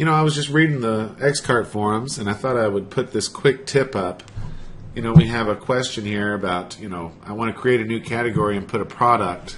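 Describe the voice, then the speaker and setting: At a moderate pace, a man talks with a normal speaking voice at a medium pitch. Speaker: web developer. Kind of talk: tutorial.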